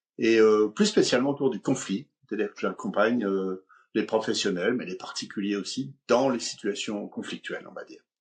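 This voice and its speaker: A man with a normal speaking voice talks at a moderate pace and a medium pitch with ordinary pitch variation. His loudness swings widely. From eastern France. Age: 60s. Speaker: conflict coach and speaker. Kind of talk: interview, personal story.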